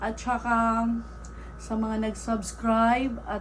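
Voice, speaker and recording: Audible room echo surrounds the voice. It belongs to a woman. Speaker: YouTuber and stray cat rescuer. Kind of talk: casual unboxing vlog.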